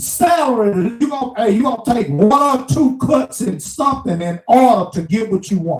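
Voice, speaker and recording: A man with a Mississippi accent speaks in an extremely high pitch with very wide pitch swings. His pace is moderate, with hardly any pauses. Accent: Southern US (Mississippi). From US South, small town Mississippi. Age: 60s. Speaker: truck driver vlogger. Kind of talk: casual monologue rant.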